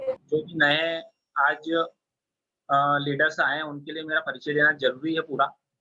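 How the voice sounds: Speaking at a fairly slow pace, the man has a fairly high pitch and a bright, sharp tone.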